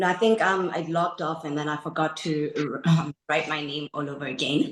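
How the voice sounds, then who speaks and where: Very deep, low female speech at a medium speed, its pitch varying in an ordinary way. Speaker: human resources officer. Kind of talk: self-introduction. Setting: video call. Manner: hesitant, many fillers.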